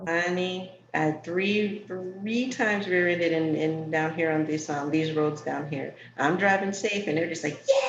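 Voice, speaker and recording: Amid noticeable background noise and audible room echo, a woman with an American accent speaks fairly slowly at a fairly low pitch with ordinary pitch variation. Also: hardly any pauses. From New York. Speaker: talk show host for entrepreneurs. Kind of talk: casual interview chat.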